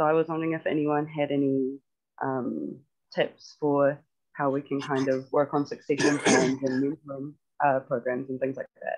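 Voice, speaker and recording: In a New Zealand accent, the speaker goes at a moderate pace. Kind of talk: online workshop discussion. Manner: hesitant, many ums.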